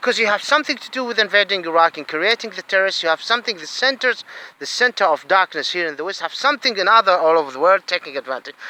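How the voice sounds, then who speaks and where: A man's high-pitched, raised and projected voice in a Saudi accent, bright and sharp in tone, with big swings in loudness and a very fast pace. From Saudi Arabia. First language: Arabic. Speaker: asylum seeker vlogger. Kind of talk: angry monologue. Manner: halting, repetitive.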